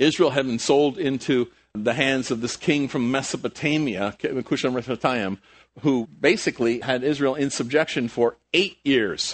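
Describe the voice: A man of medium pitch talks at a moderate pace with few pauses and ordinary pitch variation.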